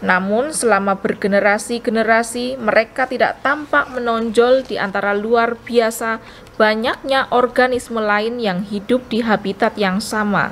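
A woman speaks at a fairly slow pace with hardly any pauses. Her intonation is fairly even, over light background noise. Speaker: audiobook narrator. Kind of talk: audiobook narration. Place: home room.

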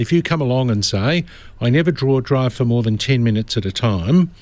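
A man with an Australian accent talks at a very fast pace and medium pitch, in dry sound with no echo. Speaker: lawyer. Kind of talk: radio legal advice.

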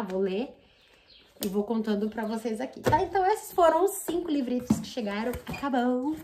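Noticeable background noise fills the clip. The woman talks at a moderate pace. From Brazil. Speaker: book youtuber; book vlogger. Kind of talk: casual vlog unboxing. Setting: at home. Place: home room. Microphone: phone near.

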